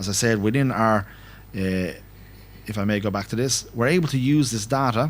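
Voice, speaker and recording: In an Irish accent, a man with a medium-pitched voice and ordinary pitch variation leaves long, frequent pauses. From Ireland. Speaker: finance network director. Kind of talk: conference talk. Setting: conference hall with audience and interpreter. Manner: fast.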